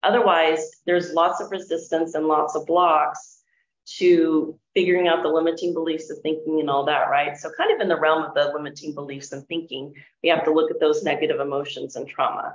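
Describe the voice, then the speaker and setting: Speaking with an American accent, a woman with an unremarkable speaking voice and a fairly low pitch talks at a fairly quick pace with fairly even intonation. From California, US. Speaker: financial wellness coach. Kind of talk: summit talk, video interview.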